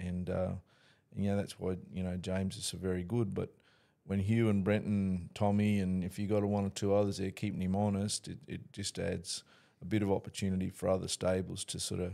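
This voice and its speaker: Against a quiet background, a man with an Australian accent talks at a fairly quick pace. His very deep, low voice has a dark, mellow tone and a monotone, flat intonation. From North Queensland, Australia. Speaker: horse racing trainer. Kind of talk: casual interview chat. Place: studio. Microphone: studio mic.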